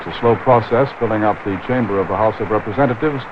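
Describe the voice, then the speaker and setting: At a very fast pace and medium pitch, a man talks over noticeable background noise. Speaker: TV news commentator. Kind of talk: live broadcast commentary.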